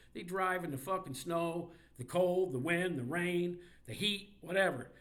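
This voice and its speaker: The man's voice is high in pitch. Its pitch variation is ordinary, and audible room echo surrounds it. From Indiana, US Midwest. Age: 60s. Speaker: sports commentator. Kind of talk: rant. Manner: animated.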